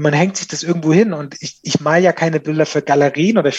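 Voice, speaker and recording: A man talks at a very fast pace in a high pitch. His pitch varies in an ordinary way. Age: 40s. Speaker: digital marketing manager. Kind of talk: casual interview.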